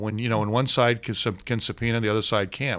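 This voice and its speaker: In a very clean recording with a silent background, a man of medium pitch talks very fast with ordinary pitch variation. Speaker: professional voice user, radio guest. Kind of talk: casual chat. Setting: radio studio.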